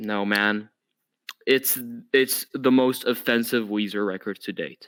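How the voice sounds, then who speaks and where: A bright, sharp voice with a non-native accent at a fairly slow pace. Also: man. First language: not English. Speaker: podcast host. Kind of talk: casual chat. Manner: animated.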